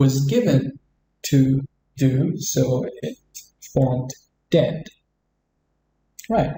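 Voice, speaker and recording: A man with an Arabic accent speaks at a very slow pace, leaving long, frequent pauses. His fairly high-pitched voice is somewhat breathy, with a dark, mellow tone. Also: ordinary pitch variation. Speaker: English teacher. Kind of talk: tutorial.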